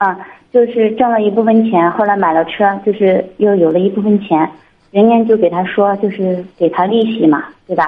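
This woman has an ordinary speaking voice at a medium pitch, with fairly even intonation. She talks at a moderate pace with very even loudness. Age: 30s. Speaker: caller seeking advice. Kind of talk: phone-in advice call.

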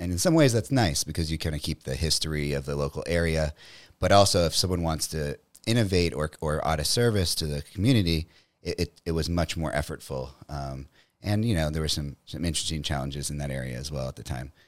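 On a very clean recording with a silent background, a man with an American accent speaks fairly quickly in a very deep, low pitch with ordinary pitch variation. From US South, New Orleans, Louisiana. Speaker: entrepreneur, company CEO. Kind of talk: casual interview.

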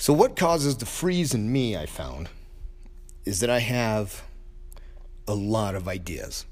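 This man's voice sits at a medium pitch but makes very wide pitch swings, moving at a fairly slow pace with long, frequent pauses. Audible room echo surrounds his speech. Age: 50s. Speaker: martial arts coach and gym owner. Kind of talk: solo podcast monologue. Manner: casual, hesitant with fillers.

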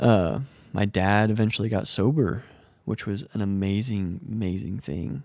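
Someone with a plain, everyday voice talks at a moderate pace with ordinary pitch variation. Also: man, fairly low pitch for a man. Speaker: podcast host. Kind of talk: testimony. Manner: casual, rambling with fillers.

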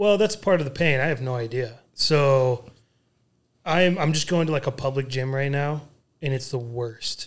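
Here a man talks at a moderate pace with ordinary pitch variation in a normal speaking voice. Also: fairly high pitch for a man. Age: 30s. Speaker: podcast co-host, former football player. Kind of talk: casual chat.

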